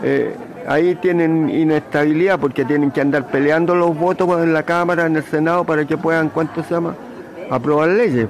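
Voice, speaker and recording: A man talks at a moderate pace with fairly even intonation. His pitch sits fairly high, and noticeable background noise is present. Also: very even loudness. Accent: Chilean. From Chile, San Bernardo. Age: 80s+. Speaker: elderly interviewee recalling the past. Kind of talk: interview. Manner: halting, frequent fillers.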